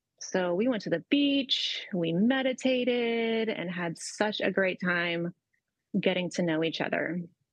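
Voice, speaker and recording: A woman has an ordinary speaking voice at a medium pitch. She talks at a fairly slow pace with lively intonation. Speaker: mentor. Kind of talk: casual chat.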